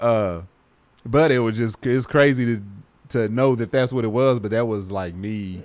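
With a plain, everyday voice, a man with an American accent speaks at a moderate pace at a medium pitch with ordinary variation. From US. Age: 40s. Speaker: podcast host. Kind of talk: casual chat.

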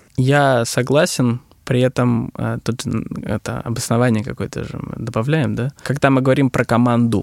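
A man speaks at a medium pitch and a moderate pace with fairly even intonation. He has a plain, everyday voice, and the sound is dry and close with no echo. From Russian regions. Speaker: business consultant on digital transformation. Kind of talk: interview. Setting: studio.

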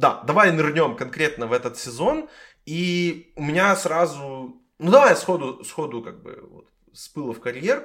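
This man has a plain, everyday voice with fairly high pitch and lively intonation. He talks at a fairly slow pace, with big swings in loudness. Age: 20s. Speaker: podcast host. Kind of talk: casual chat.

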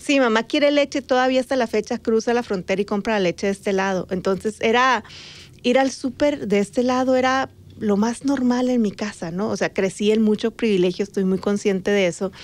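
Against a quiet background, a woman talks at a fairly quick pace. Her pitch is fairly high, with ordinary variation. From Sonora, Mexico (Magdalena, near Nogales border). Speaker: podcast co-host and journalist. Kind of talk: casual chat. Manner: animated.

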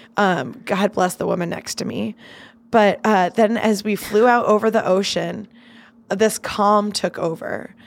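Speaking at a fairly slow pace, a woman with a medium pitch uses vocal fry and ordinary pitch variation. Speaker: comedy writer. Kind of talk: casual interview chat.

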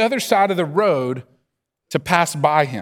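This man's tone is animated. His pitch swings very widely. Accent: Southern US. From US South. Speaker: pastor. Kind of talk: sermon. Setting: church. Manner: slow.

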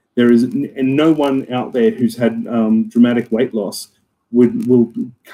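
A man with an Australian accent talks at a moderate pace. His tone is dark and mellow, with ordinary pitch variation. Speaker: club co-captain. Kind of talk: casual chat.

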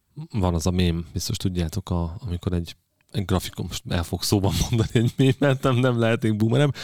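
Lively intonation marks a man's very fast speech. He talks in a fairly low voice. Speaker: podcast host on engineering leadership. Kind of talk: casual chat. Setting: studio.

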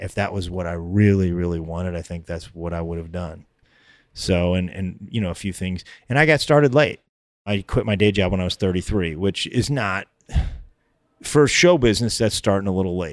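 On a very clean recording with a silent background, a man with an American accent speaks fairly quickly in a very deep, low pitch with ordinary pitch variation. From US suburbs. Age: 50s. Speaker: comedian. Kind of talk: casual chat.

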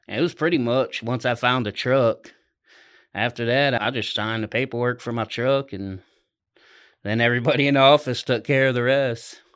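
A man speaks in a plain, everyday voice with an American accent, at a moderate pace and medium pitch. His intonation is fairly even, and the recording is very clean with a silent background. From Ohio, US Midwest. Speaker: truck driver. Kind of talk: casual chat.

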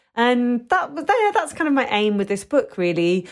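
The recording is very clean, with a silent background. A woman speaks in a London accent. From London, England. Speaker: food writer. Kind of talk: interview. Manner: hesitant, many fillers.

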